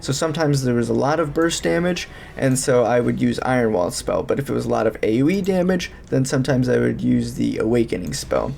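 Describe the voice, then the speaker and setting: Through noticeable background noise, a man's words come at a fairly quick pace. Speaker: gaming guide creator. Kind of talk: game guide commentary. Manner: rambling.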